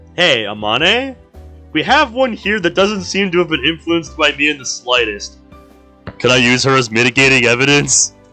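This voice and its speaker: Music plays behind a man with a fairly high pitch who talks at a moderate pace with very wide pitch swings. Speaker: live streamer, visual novel playthroughs. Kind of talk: reading game dialogue aloud.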